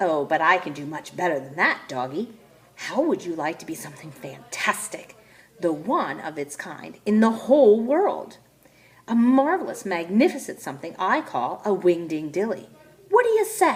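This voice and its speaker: A woman uses a put-on character voice at medium pitch. It is shrill and moves at a moderate pace. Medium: read story. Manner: lively, chirpy.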